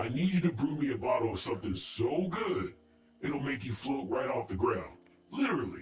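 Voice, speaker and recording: A man speaks in a put-on character voice at a medium pitch. There is a slight echo on the recording. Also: moderate pace. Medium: video game. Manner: teasing.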